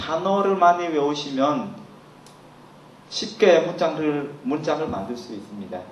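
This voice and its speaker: Speaking with a Cambodian accent, a man talks at a fairly slow pace with lively intonation, amid audible room echo and noticeable background noise. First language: Khmer (speaking Korean). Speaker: language teacher. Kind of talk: lecture.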